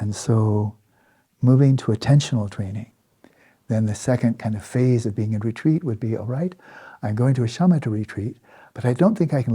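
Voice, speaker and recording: A man talks at a fairly quick pace in a somewhat breathy, dark and mellow voice of medium pitch, with ordinary pitch variation, in a very clean recording with a silent background. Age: 70s. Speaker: Buddhist meditation teacher. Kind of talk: dharma talk. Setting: meditation retreat. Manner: halting.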